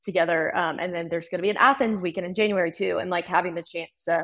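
An unremarkable speaking voice, a woman with a fairly low pitch and an American accent. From North Carolina (Winston-Salem). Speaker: college hockey club president. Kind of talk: casual interview.

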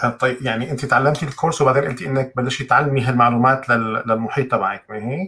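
A man with a bright, sharp tone and medium pitch speaks at a fairly quick pace, with hardly any pauses and fairly even intonation. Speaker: livestream host. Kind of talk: live interview. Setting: live stream online video call.

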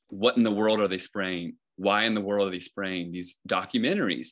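With a plain, everyday voice, a man talks at a fairly quick pace and a fairly low pitch against a quiet background. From Northern Virginia. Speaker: conspiracy theory activist. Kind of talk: casual chat.

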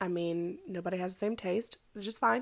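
Very clean recording of a woman at a moderate pace, the background silent. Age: 20s. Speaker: podcast host and hairstylist. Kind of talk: casual monologue. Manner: casual, many fillers and laughs.

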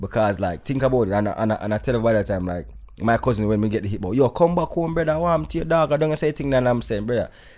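A man with a Jamaican accent, very wide pitch swings and a quiet background. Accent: Jamaican patois-inflected English. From Jamaica, raised in New York. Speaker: dancehall artist. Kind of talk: casual interview chat.

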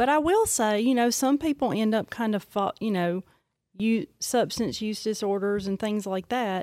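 On a very clean recording with a silent background and a dry, close sound with no echo, a woman uses a normal speaking voice at a fairly high pitch, a moderate pace and ordinary pitch variation. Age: 40s. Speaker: psychiatric nurse practitioner. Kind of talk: casual interview.

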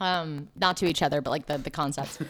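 On a very clean recording with a silent background, a woman speaks in a plain, everyday voice at a fairly low pitch. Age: 20s. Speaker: podcast co-host. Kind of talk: casual chat.

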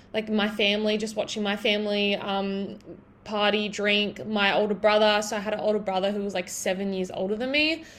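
A woman with an Australian accent, medium in pitch, at a fairly quick pace. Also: fairly even intonation. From Australia, Broken Hill NSW. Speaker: podcast host and online fitness coach. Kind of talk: solo podcast monologue. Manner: casual, filler-heavy.

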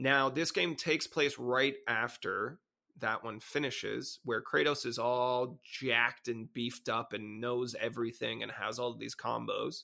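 With vocal fry and a bright, sharp tone, a man talks at a fairly slow pace with fairly even intonation and hardly any pauses. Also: medium pitch for a man. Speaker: podcast co-host and ice show performer. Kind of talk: casual chat.

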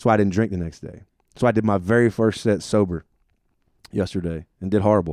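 A man talks at a fairly quick pace but leaves long, frequent pauses. His voice is fairly low in pitch with a dark, mellow tone, and the sound is dry and close with no echo. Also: fairly even intonation. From US, army family, born in Germany. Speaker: stand-up comedian and army veteran. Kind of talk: casual interview. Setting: on tour in Connecticut.

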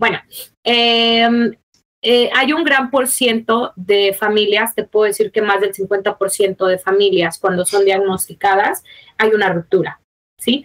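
A woman speaks at a very slow pace with ordinary pitch variation. Her loudness is very even, and the sound is dry and close with no echo. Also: medium pitch for a woman. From Mexico. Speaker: mother of a child with a rare disease. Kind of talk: personal testimony in interview.

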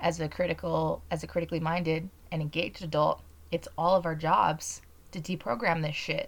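Fairly low-pitched female voice with an American accent, vocal fry and a monotone, flat intonation at a moderate pace. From Utah. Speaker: podcast host. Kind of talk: political commentary monologue.

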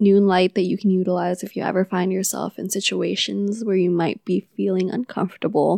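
In a very clean recording with a silent background, a woman talks at a fairly quick pace with hardly any pauses, at medium pitch with fairly even intonation. Hers is a plain, everyday voice, and the sound is dry and close with no echo. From Philippines, Manila; moved to California. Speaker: podcast co-host, childcare provider. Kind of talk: casual chat.

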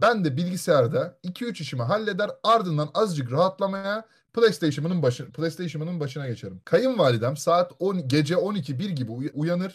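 A man speaks in a high pitch with lively intonation. He keeps a moderate pace with hardly any pauses. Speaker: podcast host. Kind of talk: casual chat, reading stories aloud. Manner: animated, jokey.

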